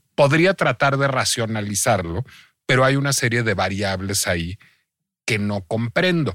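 In a plain, everyday voice, a man talks at a fairly slow pace and medium pitch with lively intonation, captured on a very clean recording with a silent background. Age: 40s. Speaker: podcast host. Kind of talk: casual chat.

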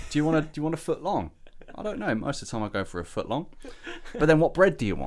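A man's fairly high voice with vocal fry, very wide pitch swings, a very fast pace and long, frequent pauses. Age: 30s. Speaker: podcast co-host. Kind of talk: casual chat.

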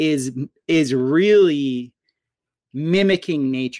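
A man with an American accent speaks with lively intonation in a dry, close sound with no echo on a very clean recording with a silent background. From Florida, US (Fort Lauderdale). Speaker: permaculture and natural building expert. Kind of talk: casual interview chat.

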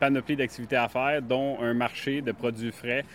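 Against noticeable background noise, a man speaks at a moderate pace with a medium pitch. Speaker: farmer and farm shop owner. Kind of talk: guided farm tour interview. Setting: on site at farm shop. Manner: hesitant with fillers.

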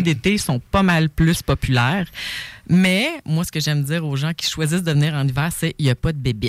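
A woman with a Quebec accent talks at a fairly quick pace in a very deep, low voice. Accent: Québécois French. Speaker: author and survival instructor. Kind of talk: casual chat.

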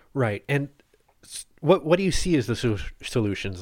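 An unremarkable speaking voice talks with ordinary pitch variation at a moderate pace, captured on a very clean recording with a silent background. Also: man. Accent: Canadian. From Ottawa, Canada. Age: 30s. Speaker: podcast host, newsletter editor. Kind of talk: interview; scripted intro.

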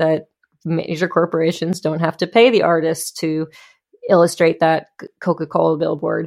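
At a fairly slow pace, a woman talks in a normal speaking voice. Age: 30s. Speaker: musician. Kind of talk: casual chat.

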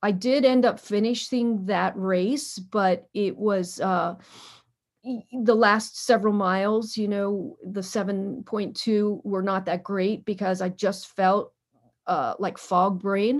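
A woman speaks very slowly at a medium pitch with ordinary pitch variation, on a very clean recording with a silent background. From Pennsylvania, Harrisburg. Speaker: marathon runner and brain cancer survivor. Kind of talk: interview storytelling. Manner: hesitant with frequent fillers.

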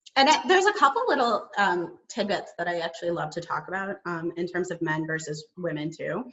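In an ordinary speaking voice, a woman talks at a fairly quick pace with a fairly low pitch and lively intonation. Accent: American. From Chicago suburbs. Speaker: speech-language pathologist and communication consultant. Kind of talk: casual chat. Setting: video call.

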